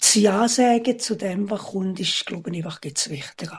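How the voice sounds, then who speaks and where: A somewhat breathy woman's voice with a Swiss accent, ordinary pitch variation and a fairly slow pace. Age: 80s+. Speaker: retired housekeeper. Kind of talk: interview.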